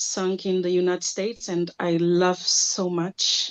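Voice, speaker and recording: This woman speaks with a non-native accent, her pitch at a medium level. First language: not English. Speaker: singer. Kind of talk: self-introduction on webinar. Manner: halting.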